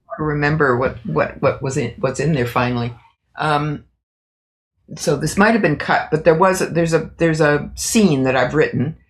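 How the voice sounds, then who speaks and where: At a moderate pace, a woman speaks with a very deep, low pitch and a somewhat breathy sound. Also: ordinary pitch variation. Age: 80s+. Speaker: author. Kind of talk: interview answer.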